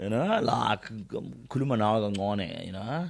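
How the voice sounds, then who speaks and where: With a Zulu accent, a man speaks at a fairly slow pace and a fairly low pitch, his intonation lively. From South Africa, KwaZulu-Natal. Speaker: radio presenter. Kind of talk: interview. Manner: casual, code-switching Zulu and English.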